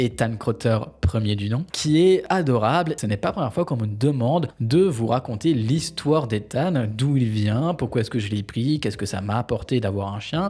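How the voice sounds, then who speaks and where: Over a very clean recording with a silent background, a man at medium pitch speaks at a moderate pace, somewhat breathy, with lively intonation. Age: 20s. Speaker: YouTuber, lifestyle vlogger. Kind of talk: casual talking-head vlog monologue.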